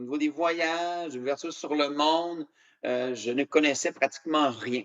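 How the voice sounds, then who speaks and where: A man speaks at a fairly slow pace in a Canadian French accent. His pitch is fairly high, and the sound is dry and close with no echo. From Canada (Quebec). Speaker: motivational speaker. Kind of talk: keynote speech. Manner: hesitant with many fillers.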